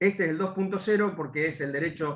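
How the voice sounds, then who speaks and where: The pitch variation is ordinary. A man delivers his words at a fairly quick pace. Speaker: law panelist. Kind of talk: academic panel talk. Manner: fast; hesitant with fillers.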